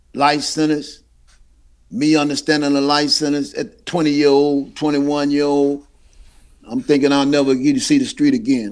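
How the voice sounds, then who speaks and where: A man speaks with an American accent at a moderate pace. His pitch is fairly high. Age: 60s. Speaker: exonerated former prisoner. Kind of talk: interview testimony.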